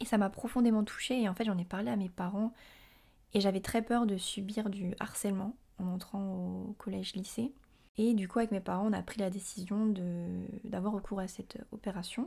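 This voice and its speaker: With fairly even intonation and a dark, mellow tone, the somewhat breathy voice keeps a moderate pace. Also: woman, medium pitch for a woman. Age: 20s. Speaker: podcaster. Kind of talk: personal monologue. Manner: hesitant with many fillers.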